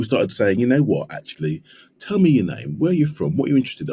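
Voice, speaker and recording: A man in a London accent, very fast, with vocal fry. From South East London. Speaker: trauma surgeon. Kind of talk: podcast interview. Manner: repetitive false starts.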